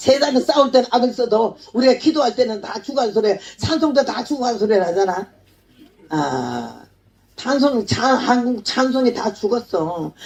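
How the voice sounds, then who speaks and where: High pitch from a woman, fairly slow in pace, with ordinary pitch variation. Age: 80s+. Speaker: missionary preacher. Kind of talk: sermon. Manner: animated.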